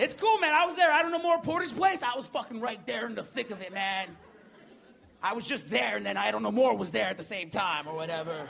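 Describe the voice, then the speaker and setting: Over noticeable background noise, the voice races at a very fast pace with very wide pitch swings. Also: man, high pitch for a man. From Manitoba reserve, Canada. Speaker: comedian and radio DJ. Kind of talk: stand-up and panel chat. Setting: stage with audience.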